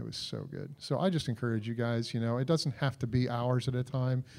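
At a fairly quick pace, a man speaks in a medium pitch with an ordinary speaking voice. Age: 60s. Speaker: marriage conference speaker. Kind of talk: church marriage Q&A talk.

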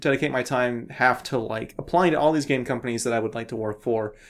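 Speaking at a fairly quick pace, a man with a West Coast accent uses a medium pitch and ordinary pitch variation. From US Pacific Northwest, Portland. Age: 20s. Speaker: indie game developer. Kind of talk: casual chat.

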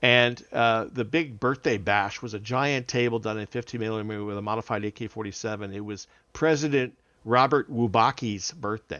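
A man's normal speaking voice, medium in pitch, with fairly even intonation at a moderate pace. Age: 50s. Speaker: wargaming event organizer. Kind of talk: casual chat.

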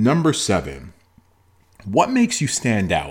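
A man with a Toronto accent, animated in tone, at a moderate pace, on a very clean recording with a silent background. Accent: Canadian (Toronto). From Toronto, Canada. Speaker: motivational podcaster and speaker. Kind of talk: motivational monologue.

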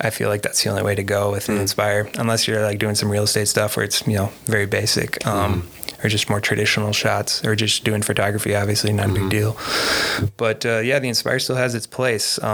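With noticeable background noise, a man speaks at a moderate pace in a fairly low pitch and a monotone, flat intonation. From Minnesota, US. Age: 30s. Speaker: FPV drone pilot. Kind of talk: casual chat.

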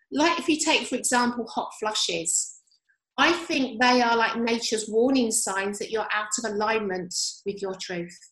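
Audible room echo surrounds a woman whose fairly high voice has lively intonation at a moderate pace. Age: 50s. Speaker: yoga teacher. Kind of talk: casual chat.

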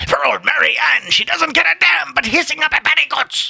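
A man's put-on character voice, extremely high-pitched, raspy, hoarse and growling, at a fairly quick pace.

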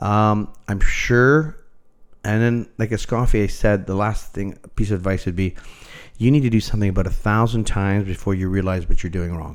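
A man with a Canadian accent speaks at a moderate pace and fairly low pitch with ordinary pitch variation. His is a plain, everyday voice. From Toronto, Canada. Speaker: chef. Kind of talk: interview.

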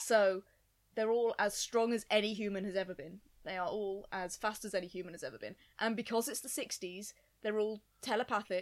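A woman speaks at a moderate pace with medium pitch and fairly even intonation, in an ordinary speaking voice. Her loudness swings widely. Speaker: podcast guest. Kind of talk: casual chat.

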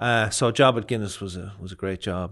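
Over a quiet background, a man with a Leinster accent speaks at a moderate pace in a fairly low pitch. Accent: Irish (Leinster). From Ireland, County Kildare near Dublin. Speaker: chef and restaurant owner. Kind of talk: casual interview chat. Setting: studio.

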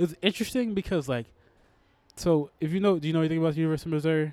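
A man with an American accent talks in a fairly high pitch. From Texas, Houston. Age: 20s. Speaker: comedian. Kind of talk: casual chat. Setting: pub.

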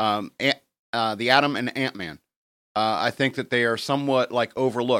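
A man's bright, sharp voice comes through with fairly even intonation in a dry, close sound with no echo. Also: medium pitch for a man, moderate pace. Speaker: comics podcast co-host. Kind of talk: casual chat.

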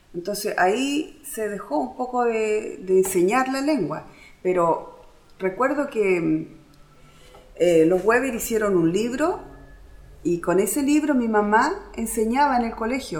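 Speaking at a very slow pace, a woman's fairly high voice makes very wide pitch swings amid audible room echo. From Easter Island (Rapa Nui), Chile. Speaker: language student, mother. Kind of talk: interview testimony.

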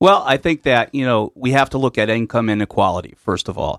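An American man speaks in an ordinary speaking voice at a medium pitch, with ordinary pitch variation. The sound is dry and close with no echo, over a quiet background. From Connecticut, US. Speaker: union official. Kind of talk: radio interview discussion. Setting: radio studio.

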